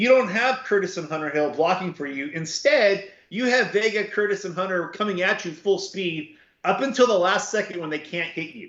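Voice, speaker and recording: With a Southern Californian accent, a man talks at a moderate pace in a high pitch, his loudness swinging widely. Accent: Southern Californian American. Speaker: football recruiting analyst, co-host. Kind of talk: casual chat.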